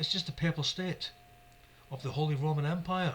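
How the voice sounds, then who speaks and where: Speaking in an animated tone, a man with a Scottish accent uses a fairly high pitch. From Scotland. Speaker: YouTube religious commentator. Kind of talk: religious monologue. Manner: fast.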